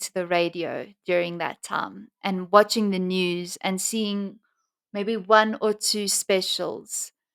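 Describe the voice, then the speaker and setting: A woman at medium pitch, speaking very slowly in a monotone, flat way, with a dry, close sound and no echo. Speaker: true crime podcaster. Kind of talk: true crime narration. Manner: halting.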